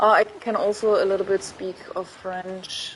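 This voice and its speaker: Noticeable background noise accompanies a voice with a German accent speaking at a very slow pace. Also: woman. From Germany. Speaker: gaming streamer. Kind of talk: casual chat. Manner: informal, hesitant speech.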